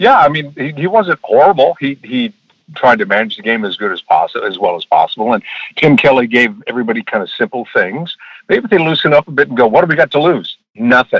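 A man's vocal fry runs through fairly quick speech that swings very widely in pitch. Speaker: former radio host. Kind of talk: casual chat. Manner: laughs often, animated.

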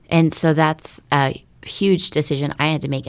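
A woman speaks with an American accent at a very deep, low pitch. The recording is very clean, with a silent background. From North Texas (Keller, near Fort Worth). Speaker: trafficking survivor and advocate. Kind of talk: testimony.

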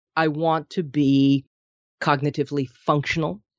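This is a woman speaking with an American accent. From Minnesota. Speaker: nutrition consultant and author. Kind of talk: interview.

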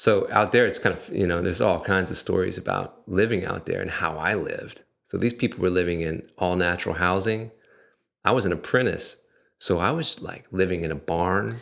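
A man with an American accent talks at a fairly quick pace in a very deep, low voice with ordinary pitch variation. The recording is very clean, with a silent background. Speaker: yoga instructor and massage therapist. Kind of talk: interview, casual conversation.

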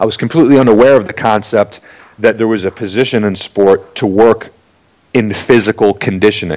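A man with an American accent and an unremarkable speaking voice, fairly low in pitch, with fairly even intonation. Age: 40s. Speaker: strength and conditioning coach. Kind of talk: interview.

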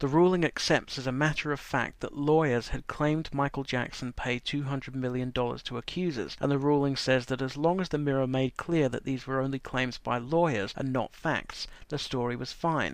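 A man with an English accent and medium pitch speaks at a moderate pace, with hardly any pauses. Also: fairly even intonation. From England. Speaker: commentator on media regulation. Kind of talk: prepared commentary segment.

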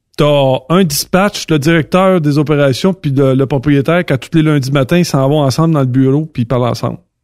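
Talking at a fairly quick pace with hardly any pauses, a man with a Quebec accent has a fairly high pitch, ordinary pitch variation and very even loudness. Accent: Québécois French. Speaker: trucking industry commentator. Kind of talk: casual chat.

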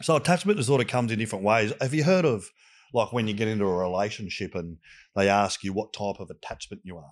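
A man with an Australian accent speaks very fast in a fairly low voice, with lively intonation and big swings in loudness. The recording is very clean, with a silent background. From Australia, southwestern Sydney. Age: 40s. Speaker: youth mentor. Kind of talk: casual interview chat. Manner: halting, with restarts.

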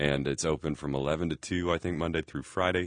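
Recorded close up and dry, without any echo, the voice comes over a quiet background. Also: man. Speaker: podcast host. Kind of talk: casual interview. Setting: studio. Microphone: studio quality recording.

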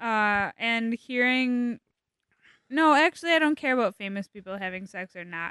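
A woman with a fairly high pitch and a bright, sharp tone speaks at a moderate pace with lively intonation and big swings in loudness, in a dry, close sound with no echo against a quiet background. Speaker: guest. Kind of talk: casual chat. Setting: studio.

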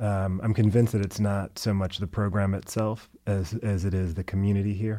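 Over a silent background on a very clean recording, a man speaks at a fairly quick pace with hardly any pauses. His fairly low voice has a dark, mellow tone and a flat, monotone delivery. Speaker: poet and professor. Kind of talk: interview. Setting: studio. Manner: quiet, restrained.

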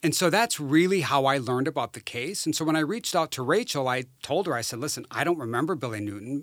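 Speaking in an unremarkable speaking voice, a man with a fairly high pitch and an American accent talks at a moderate pace with lively intonation on a very clean recording with a silent background. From rural northern Wisconsin. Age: 50s. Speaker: social worker and amateur investigator. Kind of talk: interview.

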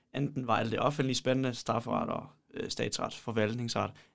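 A man's medium-pitched voice with vocal fry, fairly even intonation and a moderate pace. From Poland. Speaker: podcast co-host, law student. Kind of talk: casual chat.

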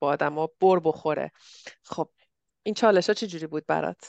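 A woman's very deep, low voice at a fairly quick pace, dry and close with no echo, over a quiet background. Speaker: podcast host. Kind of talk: casual interview chat.

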